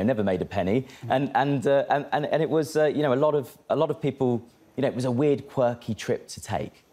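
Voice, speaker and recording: Very fast speech comes from a man with a British accent. His tone is dark and mellow. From Britain. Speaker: cryptocurrency expert. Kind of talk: interview. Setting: studio.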